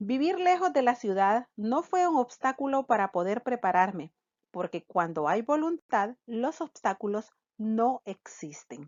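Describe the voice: This woman's fairly high voice makes big pitch swings and has a slightly mellow tone. She speaks at a fairly slow pace, and the sound is dry and close with no echo.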